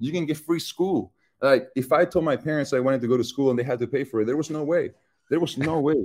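A man with a Chilean accent, fairly high pitch and a very fast pace. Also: ordinary pitch variation. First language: Spanish. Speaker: football player. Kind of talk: interview. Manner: casual.

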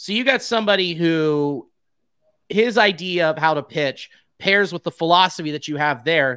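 In a very clean recording with a silent background, the delivery proceeds at a moderate pace. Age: 30s. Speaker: baseball podcaster. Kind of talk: casual chat. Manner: animated.

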